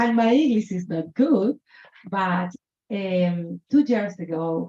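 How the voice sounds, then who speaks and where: In a Colombian accent, the voice has a dark, mellow tone, is somewhat breathy, and moves at a very slow pace with lively intonation. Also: woman, medium pitch for a woman. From Colombia, Chocó Pacific region. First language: Spanish. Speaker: author. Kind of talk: author talk at book event. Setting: bookshop event with audience. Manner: halting, non-native English.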